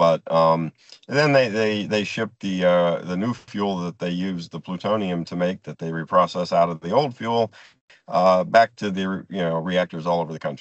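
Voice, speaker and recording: A man speaks at a very deep, low pitch with ordinary pitch variation. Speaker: nuclear industry presenter. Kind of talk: presentation. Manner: fast; halting.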